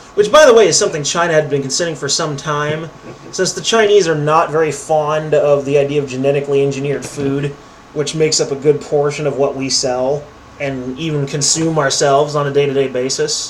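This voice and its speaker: Over noticeable background noise and audible room echo, a man with a fairly high pitch talks at a fairly quick pace with fairly even intonation. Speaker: political commentary YouTuber. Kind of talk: reading news articles aloud with commentary. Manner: casual, sarcastic commentary; stumbling over words.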